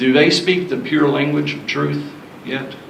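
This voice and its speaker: With a Southern US accent, a man speaks at a fairly high pitch. Audible room echo and noticeable background noise fill the recording. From US South. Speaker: sound system technician. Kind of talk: seminar talk.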